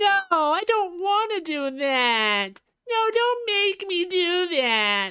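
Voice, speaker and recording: In a put-on character voice, the speaker talks at a very slow pace with extremely high pitch. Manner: whiny, pleading.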